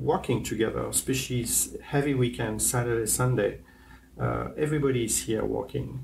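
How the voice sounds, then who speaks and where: With a French accent, a man speaks at a moderate pace over light background noise. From France. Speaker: hotel general manager. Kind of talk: interview. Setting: on location in a hotel. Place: home room. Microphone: lapel.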